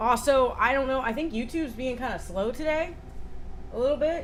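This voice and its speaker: A woman's high-pitched voice with an American accent and lively intonation at a very fast pace, over noticeable background noise and audible room echo. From United States. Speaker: streamer. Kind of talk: casual chat. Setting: livestream.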